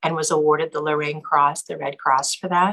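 With an Alaskan accent, a woman speaks at a fairly low pitch in a bright, sharp tone. Her intonation is monotone and flat. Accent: Alaskan American English. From Alaska (Seward, Anchorage). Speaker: former TV news anchor. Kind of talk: casual interview.

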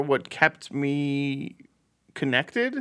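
In a very clean recording with a silent background, a bright, sharp tone comes through at a very slow pace. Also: man. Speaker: podcast host. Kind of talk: casual banter. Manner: laughs often, jokey.

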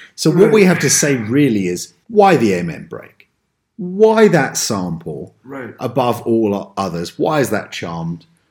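A medium-pitched male voice with an American accent and very wide pitch swings. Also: fairly slow pace, big swings in loudness. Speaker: podcast host. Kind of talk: casual chat.

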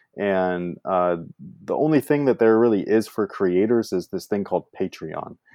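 The speaker talks at a moderate pace in a Californian accent, with ordinary pitch variation. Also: man, fairly low pitch for a man. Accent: Californian American English. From US West Coast, San Francisco Bay Area. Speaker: YouTuber, sneaker reviewer. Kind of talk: casual interview chat.

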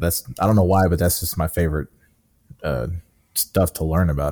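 A man's very deep, low voice with a dark, mellow tone and fairly even intonation at a fairly quick pace, on a very clean recording with a silent background. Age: 30s. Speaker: gaming podcast co-host. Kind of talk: casual chat.

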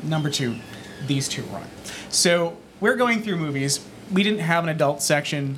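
Over music in the background, a man with an American accent and a fairly high pitch speaks with long, frequent pauses. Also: lively intonation, moderate pace. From northeastern Massachusetts. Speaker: former video store assistant manager. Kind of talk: live podcast panel chat. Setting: stage with audience.

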